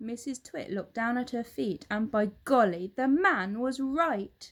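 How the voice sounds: A woman with a fairly high pitch and ordinary pitch variation speaks at a fairly slow pace.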